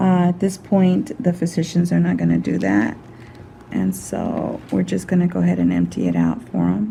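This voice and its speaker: With noticeable background noise behind her, a woman speaks at a moderate pace and very even loudness. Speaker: skin care practitioner. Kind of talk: narrated skin treatment. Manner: soft-spoken.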